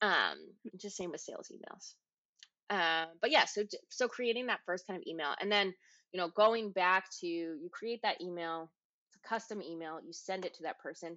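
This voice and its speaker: A woman speaks in an ordinary speaking voice at a medium pitch and moderate pace, with ordinary pitch variation and big swings in loudness. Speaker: podcast host and marketing coach. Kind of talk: educational podcast talk, casual.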